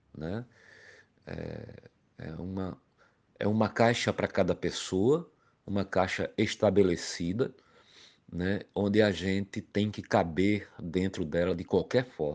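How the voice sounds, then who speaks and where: A man speaks at a very slow pace with very deep, low pitch and ordinary pitch variation. Long, frequent pauses and big swings in loudness stand out against a quiet background. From Paraíba backlands, northeast Brazil. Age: 50s. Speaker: master craftsman, toy maker. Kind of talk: recorded personal testimony. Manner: hesitant, many fillers and repetitions.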